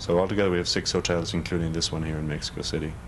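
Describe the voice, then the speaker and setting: A man speaks with a slight Irish accent and a very deep, low pitch. His intonation is fairly even. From Ireland, Dublin. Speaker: hotel manager. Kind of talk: interview. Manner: halting.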